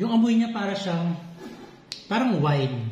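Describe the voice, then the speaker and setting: A man talks at a very slow pace with lively intonation. Audible room echo and noticeable background noise fill the recording. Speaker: home baking vlogger. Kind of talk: casual cooking vlog.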